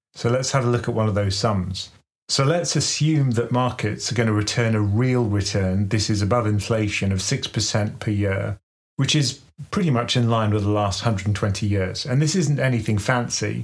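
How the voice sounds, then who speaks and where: With a British accent, a man speaks at a fairly low pitch, somewhat breathy, with ordinary pitch variation and very even loudness. The recording is very clean, the background silent. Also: moderate pace. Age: 50s. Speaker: investing podcast co-host. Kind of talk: casual chat.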